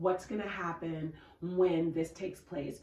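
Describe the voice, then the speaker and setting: A woman talks fairly slowly at a fairly low pitch with fairly even intonation. Noticeable background noise and audible room echo are present. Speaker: podcast co-host. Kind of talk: casual chat.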